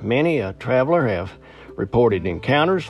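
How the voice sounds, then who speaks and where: Relaxed tone from a man with a fairly low pitch and very wide pitch swings. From Appalachia. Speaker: podcast host and storyteller. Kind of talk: ghost story telling, folksy spooky storytelling to listeners. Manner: conversational, relaxed, storyteller pacing.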